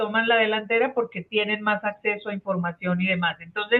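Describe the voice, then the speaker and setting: A woman uses an ordinary speaking voice, fairly high in pitch, keeping fairly even intonation at a moderate pace. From Colombia. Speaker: catechesis speaker, social pastoral trainer. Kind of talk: online workshop facilitation. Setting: video call.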